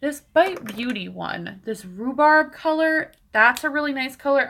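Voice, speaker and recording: A woman with a bright, sharp tone speaks at a fairly slow pace. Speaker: beauty vlogger. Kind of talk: live stream tutorial, casual chat. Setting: home, live stream. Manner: mumbling to herself.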